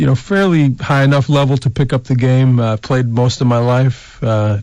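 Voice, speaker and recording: A plain, everyday voice from a man with an American accent, medium pitch, ordinary pitch variation, a moderate pace and very even loudness. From Colorado, US. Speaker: baseball coach. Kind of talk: radio interview. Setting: radio studio.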